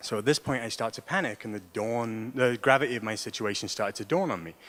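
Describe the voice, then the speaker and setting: Talking at a fairly quick clip, a man speaks with an English accent. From England. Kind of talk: personal story told to an audience.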